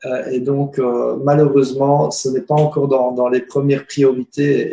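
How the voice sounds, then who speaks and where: At a fairly high pitch, a man speaks at a fairly slow pace in a monotone, flat intonation. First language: not French (speaking French). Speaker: spiritual teacher and alternative healer. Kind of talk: interview on web broadcast. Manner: halting, many hesitations.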